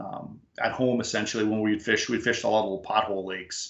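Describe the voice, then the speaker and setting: A man speaks at a moderate pace with an Upper Midwest accent and ordinary pitch variation. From Upper Peninsula of Michigan. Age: 50s. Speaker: fishing guide. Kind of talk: casual chat.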